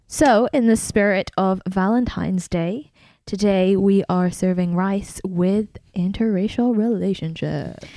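A woman speaks fairly slowly at a medium pitch, her loudness very even. Her tone is dark and mellow. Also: ordinary pitch variation. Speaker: podcast co-host. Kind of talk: casual chat.

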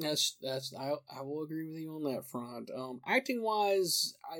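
A man at a moderate pace with an American accent. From US Southeast. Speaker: podcast host. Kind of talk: casual chat. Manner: animated.

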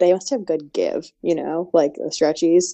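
A woman with an ordinary speaking voice at a medium pitch and a moderate pace. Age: 20s. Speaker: gift and astrology contributor. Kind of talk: casual chat.

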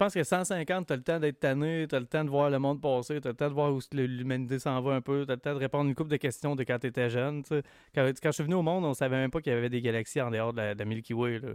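The man talks at a very fast pace with hardly any pauses, his fairly high pitch showing ordinary pitch variation. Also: dry, close sound with no echo. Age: 40s. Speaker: podcast guest. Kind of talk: casual chat.

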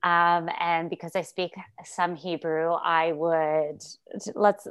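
Very slowly, the woman delivers her words. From Montreal, Quebec. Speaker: comedian and actress. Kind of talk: casual interview chat.

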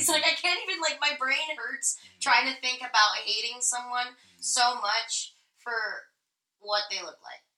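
A woman speaks with an American accent in a high voice. Her voice is raised and projected. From US. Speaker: podcast co-host. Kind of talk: casual chat. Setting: Instagram live stream.

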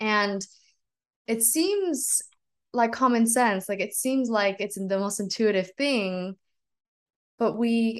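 Over a quiet background, a woman with an American accent speaks at a fairly slow pace with ordinary pitch variation. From San Francisco Bay Area, US. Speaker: Chinese medicine student and wellness coach. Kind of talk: interview conversation.

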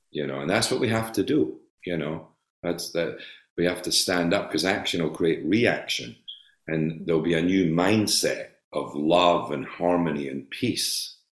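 A man speaks with a Scottish accent at a moderate pace. His very deep, low pitch varies in an ordinary way. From Scotland. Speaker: actor. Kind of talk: interview.

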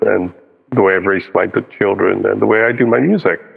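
A man speaks at a moderate speed, with noticeable noise in the background. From US (New Jersey), born in India. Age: 50s. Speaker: musician and composer. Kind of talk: interview conversation.

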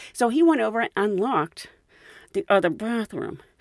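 A woman with an American accent has a normal speaking voice, talking at a fairly quick pace with ordinary pitch variation on a very clean recording with a silent background and a dry, close sound with no echo. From United States. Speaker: podcast host and flight attendant. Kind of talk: casual storytelling.

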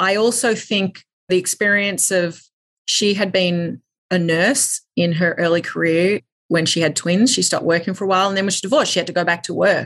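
Delivered at a fairly quick pace, this voice in an Australian accent has ordinary pitch variation. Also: woman, medium pitch for a woman. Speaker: media company CEO. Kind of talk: interview.

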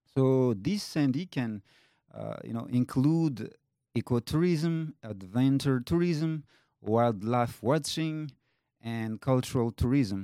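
In a French accent, a man speaks very slowly at a medium pitch, his intonation lively and his tone dark and mellow, in a dry, close sound with no echo on a very clean recording with a silent background. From Madagascar. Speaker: tour company founder. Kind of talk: interview. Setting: studio. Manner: halting, many fillers.

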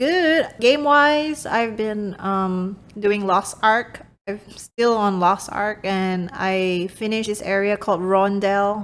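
A woman speaks at a medium pitch. Her pace is very slow. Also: ordinary pitch variation. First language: not English. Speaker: podcast co-host, gamer parent. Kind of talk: casual chat.

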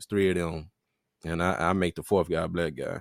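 A man speaks in a very deep, low pitch. His intonation is monotone and flat. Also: very clean recording, silent background. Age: 30s. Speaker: podcast co-host. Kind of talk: casual chat.

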